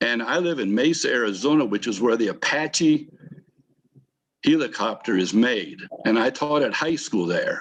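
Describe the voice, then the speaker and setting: A man delivers his words at a moderate pace and a medium pitch. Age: 60s. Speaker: retired teacher, audience member. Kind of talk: audience question in webinar Q&A. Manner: halting, repetitive.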